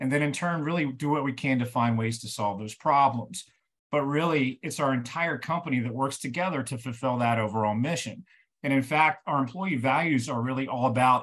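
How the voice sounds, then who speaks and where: A man talks at a moderate pace, his pitch varying in an ordinary way, with a quiet background behind him. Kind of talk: webinar presentation. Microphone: webcam.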